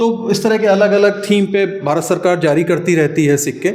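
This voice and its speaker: A man speaks with fairly even intonation. Noticeable background noise and audible room echo surround his voice. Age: 60s. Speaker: coin collector. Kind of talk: guided tour explanation.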